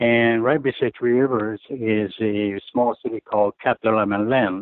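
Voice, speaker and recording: In a French-Canadian accent, a man talks at a fairly slow pace and medium pitch with fairly even intonation. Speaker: retired hockey goaltender. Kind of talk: interview. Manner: halting.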